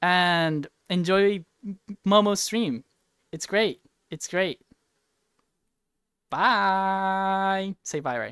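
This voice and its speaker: Very slow speech with long, frequent pauses, in a Spanish accent. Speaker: streamer. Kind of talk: casual chat. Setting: livestream.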